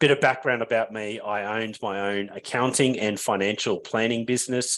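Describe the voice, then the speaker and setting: A man with an Australian accent talks at a fairly quick pace over a quiet background. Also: medium pitch for a man, fairly even intonation. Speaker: business founder and webinar presenter. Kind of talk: webinar presentation.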